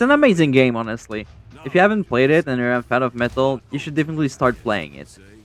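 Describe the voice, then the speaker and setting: Over noticeable background noise, a man with a medium pitch talks at a very fast pace with lively intonation. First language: French. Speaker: gaming YouTuber. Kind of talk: casual vlog commentary. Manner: halting, repeats words.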